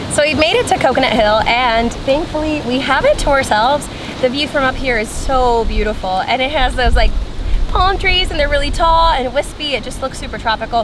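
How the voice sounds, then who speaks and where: Her high voice moving at a fairly quick pace with lively intonation, a woman speaks over noticeable background noise, with audible room echo. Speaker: travel vlogger. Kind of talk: casual travel vlog. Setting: outdoors. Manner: loud.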